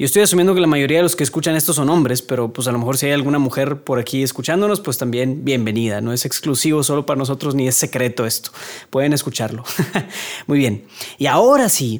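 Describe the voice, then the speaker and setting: A man talks at a very fast pace with ordinary pitch variation. His voice sits fairly high. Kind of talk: casual monologue. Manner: stuttering, hesitant.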